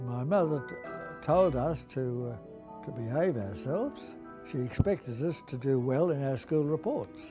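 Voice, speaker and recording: A man with an Australian accent speaks at a fairly slow pace in a medium pitch. His intonation is lively, and music plays in the background. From Melbourne, Australia. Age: 80s+. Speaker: Jesuit priest and school teacher. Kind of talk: interview answer, reminiscence.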